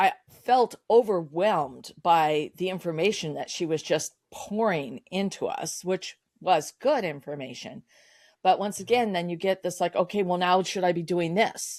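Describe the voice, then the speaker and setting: Recorded very cleanly with a silent background and a dry, close sound with no echo, a woman with a plain, everyday voice speaks at a medium pitch and a moderate pace with ordinary pitch variation. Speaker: sales coach and business founder. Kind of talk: podcast interview.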